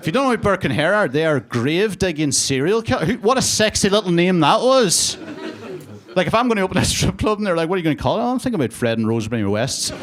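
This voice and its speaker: In a Northern Irish accent, a man talks at a very fast pace with a high pitch and very wide pitch swings, with noticeable background noise. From Northern Ireland, border area. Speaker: stand-up comedian. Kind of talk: stand-up. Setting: stage with audience. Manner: casual, conversational with filler words.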